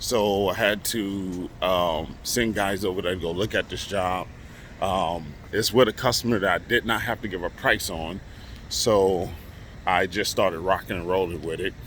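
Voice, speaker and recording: A man's very deep, low voice holds fairly even intonation at a moderate pace. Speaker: construction contractor and vlogger. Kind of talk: casual vlog update.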